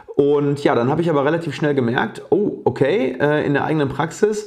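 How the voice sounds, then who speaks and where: Fairly quick speech from a man with a fairly high pitch, over noticeable background noise. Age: 30s. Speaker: dentist and oral surgeon. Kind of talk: casual interview. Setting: at home.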